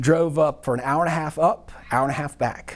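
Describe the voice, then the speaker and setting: Pitched fairly high, a man's voice carries a Southern US accent. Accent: Southern US (Georgia). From US South, Athens, Georgia. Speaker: accounting professor. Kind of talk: casual interview chat. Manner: animated.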